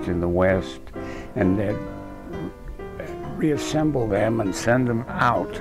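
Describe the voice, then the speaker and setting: Over clear background music, a man talks at a very slow pace in a dry recording with no echo. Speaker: retired engineer. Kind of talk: interview answer. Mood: relaxed reminiscing. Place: home room. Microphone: lapel.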